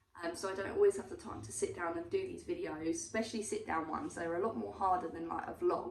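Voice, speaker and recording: A woman with an English accent talks at a very fast pace with hardly any pauses, with audible room echo and noticeable background noise. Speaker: vlogger. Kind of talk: casual chat. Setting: sitting at home.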